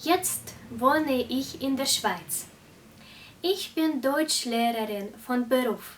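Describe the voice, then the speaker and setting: With a Russian accent, a woman speaks very slowly in a high voice with lively intonation. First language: Russian (speaking German). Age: 20s. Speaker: German teacher. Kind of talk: language lesson tutorial. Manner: slow, clear.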